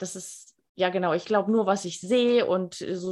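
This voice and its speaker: A woman with an unremarkable speaking voice, medium in pitch, fairly even in intonation, at a moderate pace. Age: 50s. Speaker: life coach and speaker. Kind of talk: radio interview.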